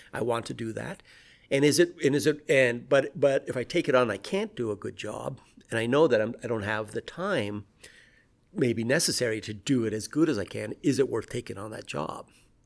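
Speaking in an American accent at medium pitch and moderate pace, a man uses lively intonation and vocal fry with big swings in loudness. The recording is very clean, with a silent background. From US Pacific Northwest. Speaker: immunology professor. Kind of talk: interview conversation. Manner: halting, many repeated words.

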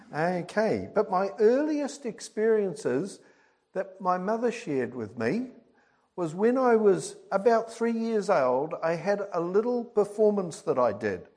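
A man with a high-pitched voice speaks at a fairly slow pace with lively intonation, and there is audible room echo. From England, Birmingham then New Zealand. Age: 70s. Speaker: lay preacher. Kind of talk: sermon. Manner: halting.

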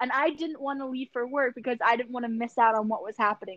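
Speaking at a fairly quick pace with a Philadelphia accent, a woman uses ordinary pitch variation. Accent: Philadelphia American. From Philadelphia, US. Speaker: podcast co-host. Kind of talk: casual chat. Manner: animated, swears casually.

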